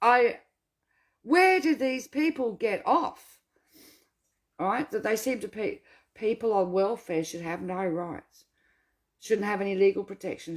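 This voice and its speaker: A woman speaks with a fairly high pitch, an animated tone and lively intonation. Her pace is moderate, with long, frequent pauses. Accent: Australian. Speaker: welfare rights activist. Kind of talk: casual Q&A monologue.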